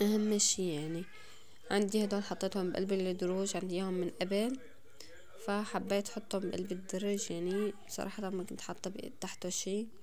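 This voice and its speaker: With a Damascene accent, a woman talks at a moderate pace in a monotone, flat intonation over light background noise. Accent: Damascene Levantine Arabic. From Syria, Damascus. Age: 20s. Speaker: home vlogger, mother; home vlogger. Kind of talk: casual vlog narration. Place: home room. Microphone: phone near.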